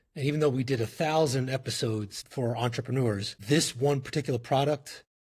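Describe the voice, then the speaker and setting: On a very clean recording with a silent background, a man with a New York accent speaks at a fairly quick pace in a medium, somewhat breathy voice with ordinary pitch variation. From New York, the Bronx. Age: 40s. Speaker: company CEO. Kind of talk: podcast interview.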